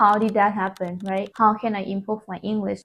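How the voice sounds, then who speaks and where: At a moderate pace, a woman with a non-native accent speaks at medium pitch in a monotone, flat intonation. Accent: non-native English speaker. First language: not English. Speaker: self-taught English learner. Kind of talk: casual talk to camera.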